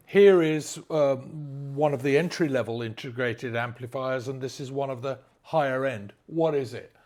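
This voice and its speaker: A man with an English accent speaks at a fairly slow pace in a very clean recording with a silent background. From England. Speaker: audio brand sales manager. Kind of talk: product presentation. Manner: halting, repeated stammers.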